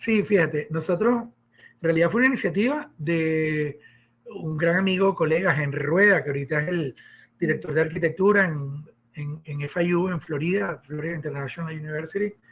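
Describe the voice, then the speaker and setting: Ordinary pitch variation in a fairly high male voice. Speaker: architect and professor. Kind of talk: podcast interview. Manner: fast.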